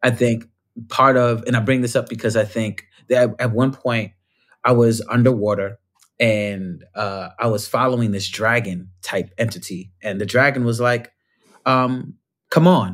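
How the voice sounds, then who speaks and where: A man speaks at a moderate pace in a medium pitch. It is a plain, everyday voice, with fairly even intonation. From New York (Bronx). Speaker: performer and storyteller. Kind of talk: casual chat.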